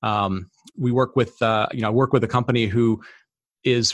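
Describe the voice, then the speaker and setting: A man with a Midwestern American accent at a fairly quick pace. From Detroit, US Midwest. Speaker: tech strategy director. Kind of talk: interview. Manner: hesitant with many fillers.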